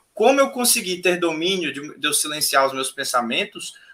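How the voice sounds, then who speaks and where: This man's high pitch carries lively intonation as he talks at a moderate pace. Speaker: spiritual teacher. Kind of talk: casual chat. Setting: live stream.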